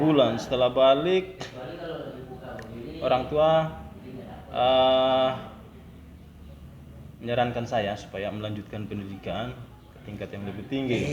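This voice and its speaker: In a Maluku accent, a man speaks at a medium pitch and a fairly slow pace, with long, frequent pauses, big swings in loudness, ordinary pitch variation and noticeable background noise. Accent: Banda Malay dialect. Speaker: port officer. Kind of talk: interview answer.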